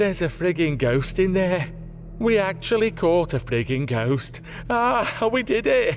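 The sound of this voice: Putting on a character voice, a man speaks at a fairly slow pace in a high pitch with big pitch swings. Clear music plays in the background.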